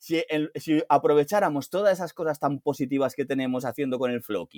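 A man with a plain, everyday voice speaks at a moderate pace, fairly high in pitch with ordinary pitch variation, in a dry, close sound with no echo. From Spain, Alicante. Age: 50s. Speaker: DeFi analyst and former banker. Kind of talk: interview.

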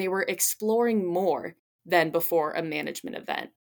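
A plain, everyday voice speaks at a moderate pace with lively intonation. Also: woman. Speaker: student researcher. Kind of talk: interview.

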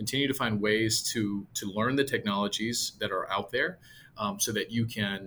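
A man talks at a moderate pace in a bright, sharp tone with ordinary pitch variation. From US West Coast, San Jose, California. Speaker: property management executive. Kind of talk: interview conversation.

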